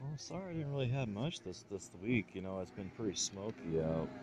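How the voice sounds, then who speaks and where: Lively in intonation, a man speaks at a fairly low pitch over noticeable background noise. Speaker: vlogger doing a delivery route; newspaper route helper vlogger. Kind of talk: casual vlog narration. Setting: indoors, retirement home. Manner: quiet, hushed.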